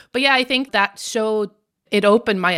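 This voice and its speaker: A woman with an Irish accent speaks in an animated tone with ordinary pitch variation. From Ireland. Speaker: comedian and author. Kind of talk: radio interview, conversational. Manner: animated, humorous, laughs often.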